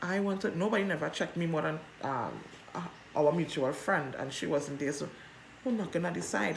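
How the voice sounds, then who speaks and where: A woman speaks loudly with a very deep, low pitch and an animated tone at a moderate pace. Noticeable background noise and audible room echo surround her voice. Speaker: vlogger. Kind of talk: personal storytelling.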